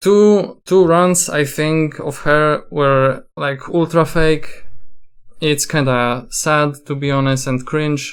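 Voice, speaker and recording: A man's fairly high voice with fairly even intonation and a non-native accent. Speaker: gaming content creator. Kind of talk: commentary video. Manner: halting, many fillers and restarts.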